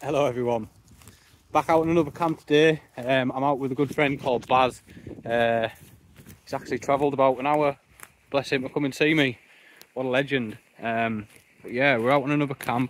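A man talks at a fairly quick pace with fairly even intonation. The sound is dry with no echo, over light background noise. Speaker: outdoor camping vlogger. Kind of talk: casual vlog chat. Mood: relaxed, cheerful. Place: forest. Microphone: phone near.

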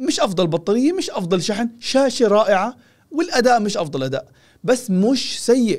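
The man's tone is animated, with lively intonation. He keeps a moderate pace. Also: quiet background. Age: 40s. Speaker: tech reviewer. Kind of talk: product review. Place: studio. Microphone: studio mic.

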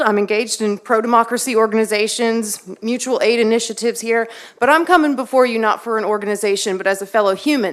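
A woman with a slight Texan accent, fairly high-pitched, at a very fast pace. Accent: Texas accent, slight. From Texas, Waller County. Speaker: public commenter. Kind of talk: public comment speech. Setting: city council meeting.

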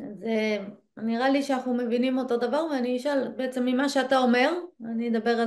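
A woman's high-pitched voice at a moderate pace, with ordinary pitch variation and a quiet background. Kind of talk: casual study discussion. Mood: thoughtful, engaged. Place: home room. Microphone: video call.

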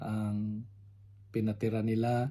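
The voice has a dark, mellow tone and flat, monotone intonation. Room echo is audible. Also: man. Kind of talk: sermon. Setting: home recording, unedited.

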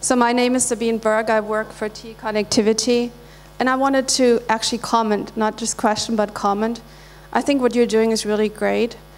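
Fairly quick, monotone speech from a woman at a fairly high pitch, the intonation flat, with noticeable background noise. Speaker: audience member, engineer. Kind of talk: audience question. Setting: stage with audience.

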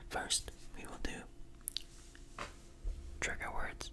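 Whispering from a man. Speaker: ASMR creator. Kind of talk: ASMR trigger words. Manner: whispered. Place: home room. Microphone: studio mic.

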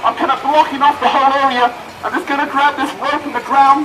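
Against noticeable background noise, a man talks in an animated tone with a raised, projected voice. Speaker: street performer comedian. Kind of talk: street comedy show patter to a live crowd. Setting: outdoors, live audience. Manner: animated, joking, quick-witted crowd banter; constantly interrupts himself with laughs and asides. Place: street. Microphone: camera far.

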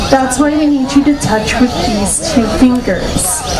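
A woman with ordinary pitch variation and clear music in the background. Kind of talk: public safety announcement. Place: waterside.

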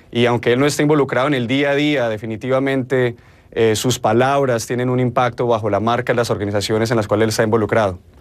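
A man with a Colombian accent at a very fast pace, his loudness very even and his intonation fairly even. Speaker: marketing strategist; news guest. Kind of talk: news interview. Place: studio.

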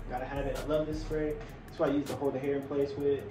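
A man speaks at a very fast pace with clear music in the background. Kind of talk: casual vlog chat. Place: home room. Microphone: camera far.

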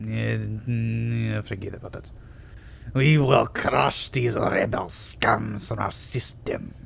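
A man's put-on character voice at a very slow pace, over clear background noise. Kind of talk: comic overacting. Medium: machinima. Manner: pompous, theatrical.

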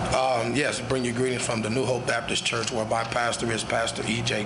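Loud background noise behind a male speaker. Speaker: guest preacher. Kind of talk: sermon greeting. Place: church. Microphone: podium.

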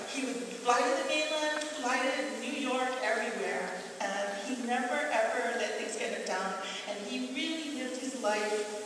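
A woman speaks at a moderate pace in a high voice with ordinary pitch variation. Noticeable background noise and strong room echo fill the recording. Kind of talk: onstage tribute speech. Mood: warm, fond, lightly joking.

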